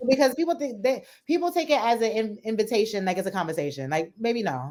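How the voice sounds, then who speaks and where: A very fast, animated woman with a New York accent, on a very clean recording with a silent background. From New Jersey / New York area. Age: young. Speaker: stand-up comedian. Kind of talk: casual interview.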